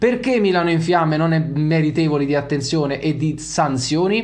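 A man is speaking. The background is quiet. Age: 30s. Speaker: football YouTuber. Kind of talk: video commentary monologue. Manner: animated. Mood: indignant, heated. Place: home room. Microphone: studio mic.

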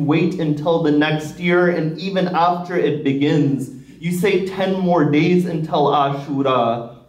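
Over audible room echo, a man talks at a fairly slow pace with fairly even intonation. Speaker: religious lecturer. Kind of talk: sermon. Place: hall.

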